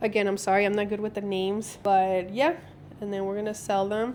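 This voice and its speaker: Against noticeable background noise, a woman talks in a relaxed tone at a fairly high pitch. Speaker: small business owner. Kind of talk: casual vlog talk to camera. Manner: relaxed, chatty.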